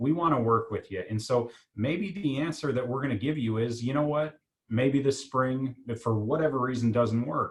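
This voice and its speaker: At a moderate pace, a man of medium pitch speaks with ordinary pitch variation. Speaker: college admissions staff. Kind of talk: virtual info session panel. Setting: video call. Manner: loud.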